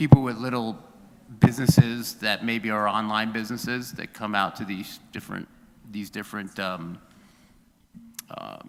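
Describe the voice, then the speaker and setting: Pitched in the medium range, the man speaks at a moderate pace with ordinary pitch variation. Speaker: city council member. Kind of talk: public meeting discussion. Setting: council chamber meeting. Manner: halting; loud.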